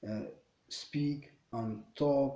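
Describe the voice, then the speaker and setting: A man with a non-native accent and a dark, mellow tone. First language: not English. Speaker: English learner vlogger. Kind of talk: casual monologue. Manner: halting, many fillers and repetitions.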